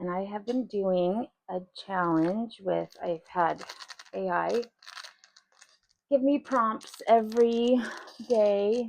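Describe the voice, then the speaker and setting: A soft-spoken woman talks at a very slow pace, with medium pitch. Her speech has long, frequent pauses. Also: ordinary pitch variation. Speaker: resin craft youtuber. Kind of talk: casual craft tutorial. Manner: quiet.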